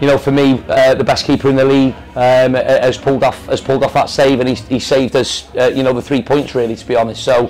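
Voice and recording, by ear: A man talks fast, with few pauses, at a medium pitch. His tone is slightly mellow and his pitch moves little.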